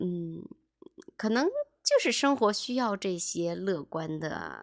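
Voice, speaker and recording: Here a woman with a medium pitch speaks with lively intonation. The recording is very clean and dry, close with no echo, and the background is silent. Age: 30s. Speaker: podcast host, former real estate agent. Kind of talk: personal monologue podcast. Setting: home.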